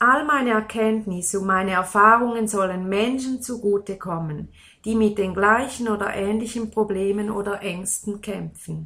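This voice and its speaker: Recorded very cleanly against a silent background, a woman with a bright, sharp tone speaks at a moderate pace and medium pitch with fairly even intonation. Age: 40s. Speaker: life coach. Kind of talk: interview.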